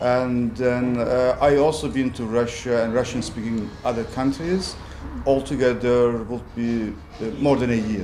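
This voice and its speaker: Audible room echo and clearly present background noise around a man's voice. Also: medium pitch for a man, fairly even intonation, fairly slow pace. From Northern Cyprus. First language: Turkish. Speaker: property developer. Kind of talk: interview.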